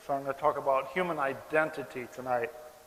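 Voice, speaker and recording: A man with an American accent talks in a room with audible echo and noticeable background noise. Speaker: philosophy lecturer and animal rights activist. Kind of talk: public lecture. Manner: slow, deliberate for non-native audience.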